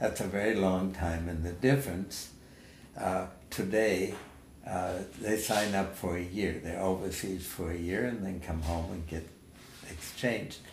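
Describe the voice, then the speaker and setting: In a room with audible echo, a man speaks somewhat breathily in a very deep, low pitch, with fairly even intonation. His pace is fairly slow, broken by long, frequent pauses. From Germany (Nuremberg). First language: German. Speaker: war veteran. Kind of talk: oral history interview. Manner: halting.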